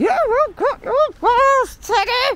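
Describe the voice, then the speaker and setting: Squeaky and extremely high, this is a put-on character voice. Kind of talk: talking to a dog on a walk. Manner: stern. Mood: mildly scolding, caring.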